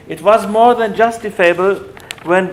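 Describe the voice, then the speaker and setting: Over noticeable background noise, a man with a German accent speaks at a fairly slow pace with fairly even intonation. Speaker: academic lecturer on human rights. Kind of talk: lecture. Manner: halting, with self-corrections.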